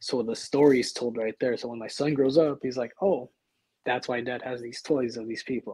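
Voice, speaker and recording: A man's medium-pitched voice carries a dark, mellow tone with fairly even intonation. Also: moderate pace. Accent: American. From Texas. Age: 20s. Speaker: professional wrestler. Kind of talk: casual interview chat.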